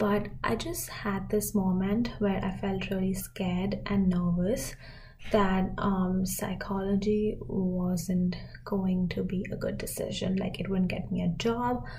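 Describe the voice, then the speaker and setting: A woman's somewhat breathy, dark, mellow voice at medium pitch, with fairly even intonation, a very slow pace and audible room echo. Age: 20s. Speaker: podcast host. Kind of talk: casual monologue.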